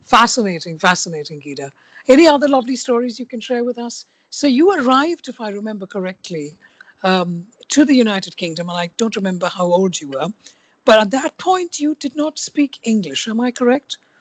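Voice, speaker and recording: Dry and close with no echo, a woman with an Indian accent talks at a fairly quick pace and fairly high pitch, with very wide pitch swings and big swings in loudness. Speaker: podcast host. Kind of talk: interview.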